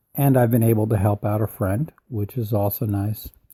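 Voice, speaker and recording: A man's voice has a dark, mellow tone and a dry, close sound with no echo. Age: 70s. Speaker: personal growth podcaster. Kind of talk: motivational podcast talk.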